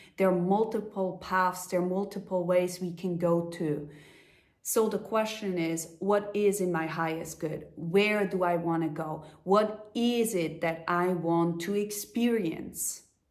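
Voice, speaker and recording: Recorded with audible room echo, a woman talks at medium pitch and a fairly slow pace with fairly even intonation. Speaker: life coach. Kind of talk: motivational talk. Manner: halting, with fillers.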